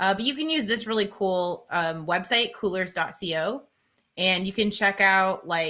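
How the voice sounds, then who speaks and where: A woman with a bright, sharp tone speaks at medium pitch and a moderate pace, with ordinary pitch variation and big swings in loudness. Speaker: teacher and live-stream co-host. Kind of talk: tutorial. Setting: live stream.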